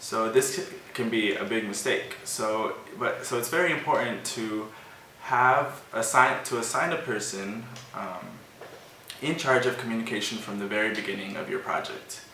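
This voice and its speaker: Noticeable background noise and audible room echo surround a man with an American accent. He talks at a moderate pace and medium pitch with ordinary pitch variation. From United States. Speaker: volunteer presenter of online course. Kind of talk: educational presentation. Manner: casual with fillers.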